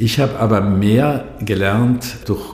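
A man's fairly low voice with fairly even intonation, audible room echo and noticeable background noise. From South Tyrol, Brixen. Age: 60s. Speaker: energy association director. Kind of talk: interview. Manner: halting.

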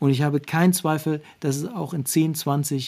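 Using a dark, mellow tone, a man talks at a fairly high pitch and a moderate pace. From eastern Germany (Saxony-Anhalt, Harz). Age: 40s. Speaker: sports official, communications director. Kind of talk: interview. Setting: remote call. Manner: hesitant with filler sounds.

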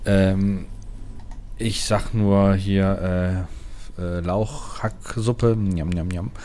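Speaking very slowly with long, frequent pauses, a man uses a fairly low pitch and fairly even intonation. Audible room echo is present. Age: 30s. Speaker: gaming podcast co-host. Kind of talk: casual chat.

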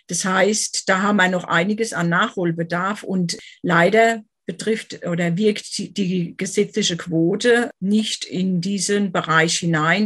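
A woman's unremarkable speaking voice, medium in pitch, at a fairly slow pace with fairly even intonation. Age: 50s. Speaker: author and finance professional. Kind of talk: interview.

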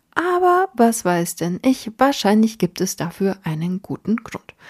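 On a very clean recording with a silent background and a dry, close sound with no echo, a woman speaks at a very slow pace in a somewhat breathy, medium-pitched voice. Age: 30s. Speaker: podcast host. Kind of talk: solo monologue podcast.

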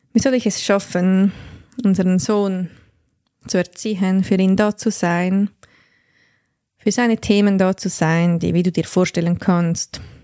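A woman speaks fairly slowly in a dark, mellow tone, with fairly even intonation, very even loudness and long, frequent pauses. The sound is dry and close, with no echo. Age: 30s. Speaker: podcast host and life coach. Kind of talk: personal monologue.

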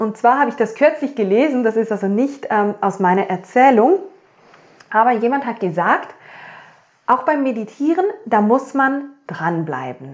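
A woman talks in an ordinary speaking voice, fairly high in pitch, with lively intonation. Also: fairly slow pace. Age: 30s. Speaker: podcast host, mindset coach. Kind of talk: solo podcast monologue.

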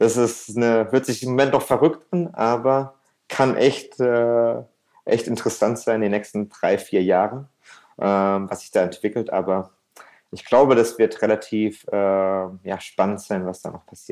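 A man at medium pitch, speaking at a fairly slow pace with ordinary pitch variation and big swings in loudness, on a very clean recording with a silent background. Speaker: restaurant entrepreneur and gastronomy consultant. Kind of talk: interview conversation. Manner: frequent fillers and hesitations.

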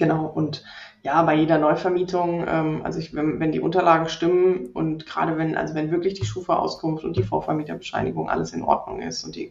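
This is a woman speaking. Her pace is moderate. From Rhineland, Germany. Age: 30s. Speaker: property investor and landlord. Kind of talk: podcast interview.

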